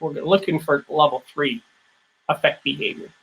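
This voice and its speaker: High-pitched and bright, a man talks fairly quickly with an American accent. His tone is sharp, and his pitch varies in an ordinary way. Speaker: business speaker, former corporate leader. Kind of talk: lecture.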